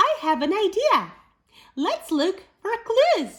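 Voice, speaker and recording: Putting on a squeaky character voice, a woman speaks at a very slow pace in an extremely high pitch with very wide pitch swings. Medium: read story.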